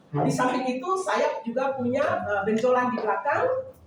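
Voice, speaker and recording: A woman speaks fairly slowly in a high voice. Audible room echo and noticeable background noise surround her. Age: 60s. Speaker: customer giving product testimonial. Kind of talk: testimony. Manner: halting, with frequent fillers.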